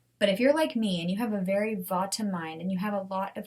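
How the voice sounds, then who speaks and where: Somewhat breathy, a woman's voice sits at a medium pitch with ordinary pitch variation. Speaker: podcast host. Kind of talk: solo podcast talk. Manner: animated.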